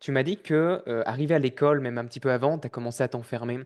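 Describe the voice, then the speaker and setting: Against a quiet background, a man talks at a fairly quick pace and a medium pitch. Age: 30s. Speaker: podcast host. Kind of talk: podcast interview. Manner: casual, hesitant.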